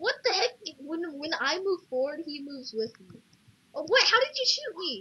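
A woman's extremely high voice with very wide pitch swings and big swings in loudness, at a moderate pace over noticeable background noise. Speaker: gamer. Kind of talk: gameplay commentary. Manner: animated.

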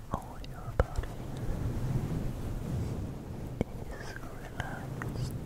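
A soft-spoken man whispering at a very slow pace. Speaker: ASMR creator. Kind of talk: soft ASMR whisper to the viewer. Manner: soft close-mic ASMR whisper. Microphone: studio mic.

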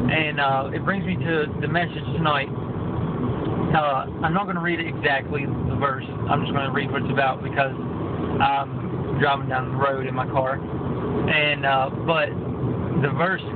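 A man speaks at a fairly slow pace. Loud background noise fills the recording. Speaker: lay preacher. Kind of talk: informal sermon. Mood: earnest, calm, devotional. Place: car. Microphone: phone near.

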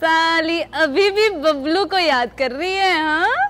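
A woman's put-on character voice, extremely high and fairly bright in tone, with lively intonation at a slow pace

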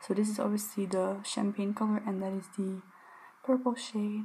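A soft-spoken woman with a fairly high voice talks in a calm tone at a fairly slow pace. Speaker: ASMR creator. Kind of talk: casual talk to camera, shopping haul. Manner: soft-spoken, calm. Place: home room.

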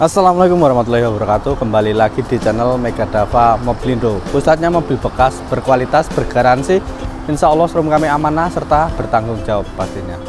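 A man talks at a very fast pace with hardly any pauses. Clear music plays behind his dry sound with no echo. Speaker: car salesman. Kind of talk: product review presentation. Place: street.

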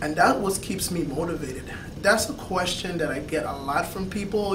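Over noticeable background noise, a man with a high pitch speaks at a fairly quick pace with ordinary pitch variation. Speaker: fitness vlogger. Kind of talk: vlog Q&A monologue. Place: office. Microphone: camera far.

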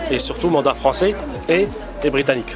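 Crowd noise sounds behind a man speaking at a fairly quick pace in a fairly high pitch. His intonation is lively, and the sound is dry with no echo. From Paris suburbs (Argenteuil); Paris. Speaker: lawyer and law lecturer; lawyer, law lecturer. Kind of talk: casual chat. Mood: calm explanatory. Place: cafe. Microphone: phone near.

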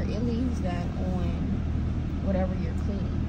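Loud background noise fills the recording. A woman talks over it at a fairly quick pace. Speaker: vlogger. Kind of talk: casual vlog chat. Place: car. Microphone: phone near.

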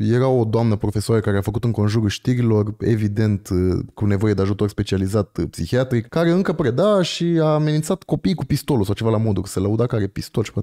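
Against a quiet background, a man talks very fast with lively intonation and a dark, mellow tone. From Romania. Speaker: podcast host. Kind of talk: casual chat. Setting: studio. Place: home room. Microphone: studio mic.

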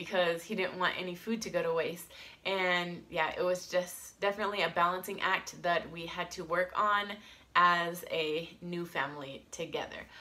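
With an American accent and a bright, sharp tone, a woman speaks with fairly even intonation. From United States. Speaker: vlogger. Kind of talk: casual vlog talk to camera. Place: home room. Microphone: phone near.

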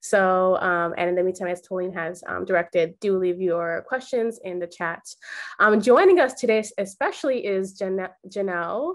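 The background stays quiet. A woman speaks at a moderate speed, her pitch varying in an ordinary way. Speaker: artist and event moderator. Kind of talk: moderated panel discussion. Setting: video call. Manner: halting. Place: home room. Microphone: webcam.

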